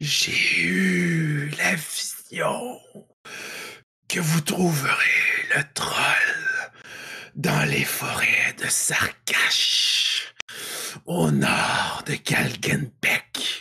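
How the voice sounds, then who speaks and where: A man puts on a raspy character voice. He goes at a very slow pace with long, frequent pauses. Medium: actual play. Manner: solemn, prophetic.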